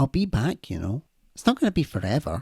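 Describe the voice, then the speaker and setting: In a put-on character voice of low-to-middle pitch, the speaker races along at a very fast pace with very wide pitch swings. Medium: audio drama. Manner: earnest, affectionate.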